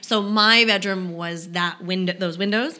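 Speaking with an American accent, a woman has a medium-pitched voice. Noticeable background noise can be heard. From New York, Brooklyn (Park Slope). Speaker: actress. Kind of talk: casual chat. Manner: halting.

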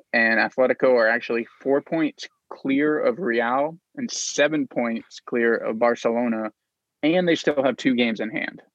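A man's plain, everyday voice at medium pitch, moderate pace and ordinary pitch variation. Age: 30s. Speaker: soccer betting podcast co-host. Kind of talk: casual chat.

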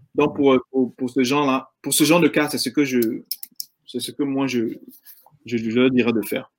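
At a moderate pace and medium pitch, a man talks with fairly even intonation and long, frequent pauses. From Ivory Coast (Abidjan). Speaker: insurance agent. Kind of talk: interview. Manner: hesitant, with many fillers.

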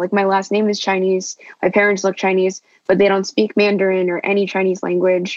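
A woman with a plain, everyday voice and an American accent, medium in pitch and fairly quick in pace. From Los Angeles, California. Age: 21. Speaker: student. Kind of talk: casual group discussion.

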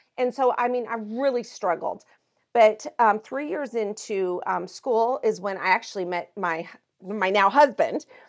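A woman with an American accent has an unremarkable speaking voice at a fairly high pitch. She talks at a moderate pace with ordinary pitch variation against a quiet background. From Montana. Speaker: pastor. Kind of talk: interview.

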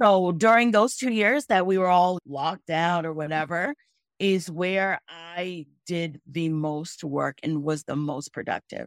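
A woman with an American accent speaks in a normal speaking voice at a fairly low pitch, with ordinary pitch variation and a fairly slow pace. The recording is very clean with a silent background, and the sound is dry and close, with no echo. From Angola and Botswana, US from age six. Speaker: small business owner. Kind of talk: interview.

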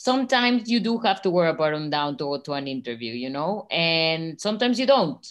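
A woman with a Spanish accent speaks in an enthusiastic tone, her fairly low voice swinging very widely in pitch. She talks at a fairly quick pace with hardly any pauses over a quiet background. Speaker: nonprofit co-founder supporting artists. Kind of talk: brand strategy work session.

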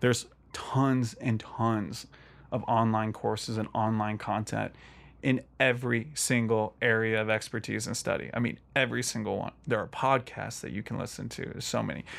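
A man at medium pitch and moderate pace, in a very clean recording with a silent background. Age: 30s. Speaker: faith podcast guest, ministry leader. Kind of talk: casual chat. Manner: animated.

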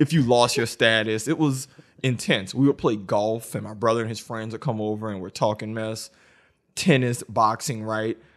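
Over a quiet background, a man with an American accent speaks at a moderate pace and medium pitch, with ordinary pitch variation and big swings in loudness, in a plain, everyday voice. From US South, New Orleans. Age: 20s. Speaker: podcast co-host, school teacher. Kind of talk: casual chat.

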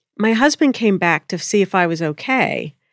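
A woman with an American accent and a plain, everyday voice, medium in pitch, with lively intonation. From Pennsylvania. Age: 30s. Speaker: spiritual teacher and channeler. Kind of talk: interview conversation. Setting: studio.

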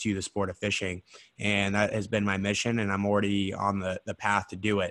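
At a moderate pace, a voice with an American accent and a bright, sharp tone comes through with a dry, close sound and no echo. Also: man. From Idaho. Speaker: podcast host. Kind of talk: casual interview chat.

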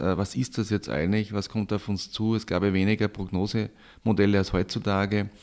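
Speaking in an unremarkable speaking voice, a man has a fairly low pitch and fairly even intonation. He goes at a moderate pace on a very clean recording with a silent background. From Austria, Styria. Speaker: professor, flood researcher. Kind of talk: interview.

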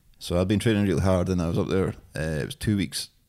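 Very fast speech from a man with a Scottish accent and a very deep, low pitch. His tone is dark and mellow, on a very clean recording with a silent background. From Scotland, East Lothian. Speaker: beard oil business founder. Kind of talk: casual chat.

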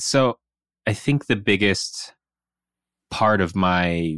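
A man with an American accent at a very slow pace, in a dry, close sound with no echo on a very clean recording with a silent background. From US Pacific Northwest, Seattle area. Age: 30s. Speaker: podcast co-host. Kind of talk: casual chat.

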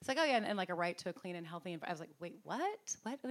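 A woman with a medium-pitched voice and vocal fry speaks with lively intonation. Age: 50s. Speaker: author. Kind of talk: book talk interview.

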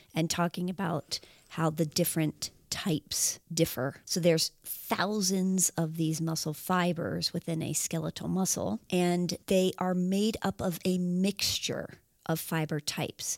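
In a normal speaking voice, a woman talks at a fairly slow pace with fairly low pitch and fairly even intonation, the recording very clean with a silent background and a dry, close sound with no echo. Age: 40s. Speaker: exercise scientist, podcast co-host. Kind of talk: casual educational chat.

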